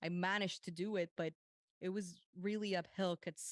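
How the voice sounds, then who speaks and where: Recorded with a dry, close sound and no echo, a woman speaks with a slight Puerto Rican accent. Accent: light Puerto Rican Spanish. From Puerto Rico. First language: Spanish. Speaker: meditation coach and mental health advocate. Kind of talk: interview conversation.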